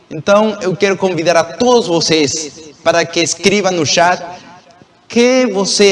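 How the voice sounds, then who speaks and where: At a very slow pace, a man with a Spanish accent speaks with lively intonation over noticeable background noise. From Venezuela. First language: Spanish (speaking Portuguese). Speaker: Bible study teacher. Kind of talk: religious lesson.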